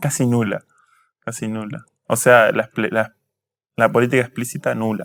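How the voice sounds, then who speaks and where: A man speaks at a fairly quick pace with fairly even intonation and a medium pitch. The recording is very clean, with a silent background. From Argentina, Tandil (Buenos Aires province). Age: 20s. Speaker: history student and activist. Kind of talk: interview. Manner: hesitant, with filler words.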